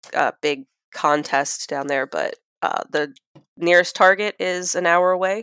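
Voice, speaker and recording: A woman with an American accent speaks in an ordinary speaking voice, fairly low-pitched with ordinary pitch variation, at a fairly slow pace, in a dry, close sound with no echo. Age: 30s. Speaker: guest. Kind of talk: casual chat telling her story.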